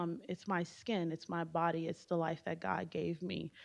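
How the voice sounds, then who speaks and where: A woman with a Haitian accent. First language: Haitian Creole. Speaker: business alumna, panelist. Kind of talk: panel discussion.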